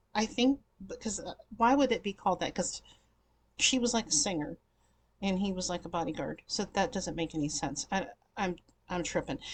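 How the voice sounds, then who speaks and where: Over a quiet background, a woman talks at a fairly quick pace with lively intonation and a somewhat breathy voice. Long, frequent pauses break up her speech. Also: medium pitch for a woman. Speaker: YouTube vlogger reviewing TV movies. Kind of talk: casual vlog chat. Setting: home recording in front of green screen. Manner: chatty, filler-heavy.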